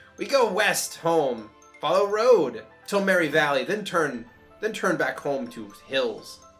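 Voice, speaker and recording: Using a put-on character voice, a man speaks at a high pitch and a fairly slow pace. Faint music sits in the background. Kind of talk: comic broken speech. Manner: excited, crude, simple-minded.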